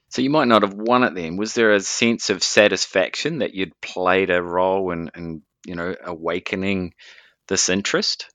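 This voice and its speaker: With a New Zealand accent, a man with a very deep, low pitch speaks at a moderate pace with ordinary pitch variation against a quiet background. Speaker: podcast host. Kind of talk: interview; scripted narration.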